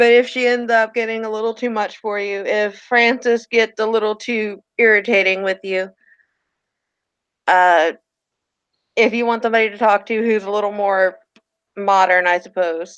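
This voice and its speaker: Using a strong Southern US accent, a woman speaks at a moderate pace and a fairly high pitch, her intonation fairly even and her pauses long and frequent. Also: quiet background. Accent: heavy Southern US. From Virginia, US South. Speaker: tabletop role-play player. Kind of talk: role-play narration; casual chat. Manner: halting.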